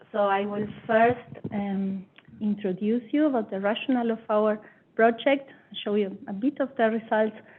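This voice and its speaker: A woman with a fairly high pitch speaks in a non-native accent. Her intonation is fairly even, with long, frequent pauses. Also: moderate pace. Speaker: scientist. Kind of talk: conference talk.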